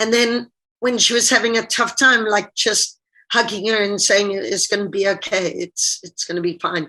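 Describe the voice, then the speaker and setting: Her pitch is fairly high and her tone bright and sharp. The woman keeps a moderate pace with fairly even intonation. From Zimbabwe. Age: 50s. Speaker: diving coach. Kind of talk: interview on webinar. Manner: casual, conversational.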